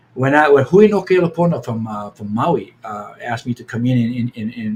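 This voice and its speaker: A man speaks at a fairly quick pace in a somewhat breathy, medium-pitched voice. His pitch moves in an ordinary way. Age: 70s. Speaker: Hawaiian healing practitioner. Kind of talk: podcast interview. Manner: halting, many repetitions.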